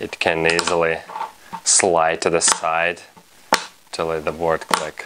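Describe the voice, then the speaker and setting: Very slow and very deep, a man with a non-native accent speaks in a monotone, flat voice with long, frequent pauses over noticeable background noise. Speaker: fingerboard instructor. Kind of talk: tutorial instruction to camera.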